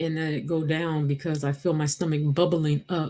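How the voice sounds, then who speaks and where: Over a quiet background, a woman speaks with a very deep, low pitch. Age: 50s. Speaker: vlogger sharing weight-loss surgery recovery. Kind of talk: personal video diary. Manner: subdued, halting.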